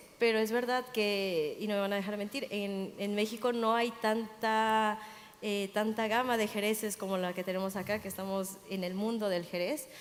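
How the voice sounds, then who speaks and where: Here a woman has a normal speaking voice at a fairly high pitch. Her pace is moderate and her pitch variation ordinary. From Mexico. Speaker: sommelier. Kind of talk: panel talk.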